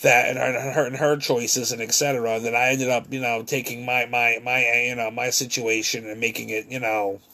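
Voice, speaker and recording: Over noticeable background noise, a man at medium pitch speaks fairly quickly with hardly any pauses and monotone, flat intonation. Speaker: vlogger. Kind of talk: monologue vlog. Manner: halting, stumbling over words; repetitive fillers.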